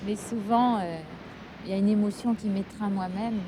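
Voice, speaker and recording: The speech runs at a moderate pace with monotone, flat intonation over noticeable background noise. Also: woman. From France, Paris. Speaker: singer. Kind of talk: interview. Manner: halting.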